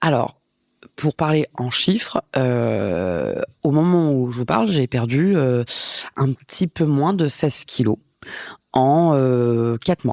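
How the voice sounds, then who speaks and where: A woman with a very deep, low pitch speaks at a very slow pace, pausing long and often, her intonation lively and her loudness very even. The recording is very clean with a silent background, and the sound is dry and close with no echo. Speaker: podcast host. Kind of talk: solo podcast monologue. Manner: casual, hesitant with fillers.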